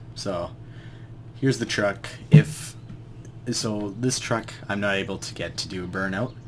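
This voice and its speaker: A man's fairly low voice with vocal fry and ordinary pitch variation. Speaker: gaming video creator. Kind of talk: casual gameplay tutorial commentary.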